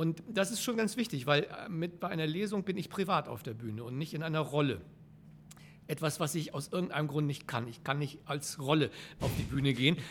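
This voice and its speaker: In a normal speaking voice, a man talks at a fairly quick pace with a fairly high pitch and lively intonation, on a very clean recording with a silent background. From northern Germany, Flensburg. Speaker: theatre director and actor. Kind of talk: casual interview.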